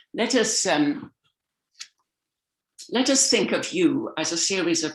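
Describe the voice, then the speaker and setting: A woman with an English accent, her fairly high pitch swinging very widely. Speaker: communication coach and speaker. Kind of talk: motivational talk. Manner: animated, acts out voices.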